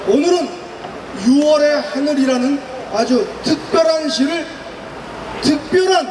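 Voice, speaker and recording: A man's extremely high voice, very slow with long, frequent pauses and ordinary pitch variation, with audible room echo and noticeable background noise. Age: 60s. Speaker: retired army officer, event emcee. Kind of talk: rally speech emcee.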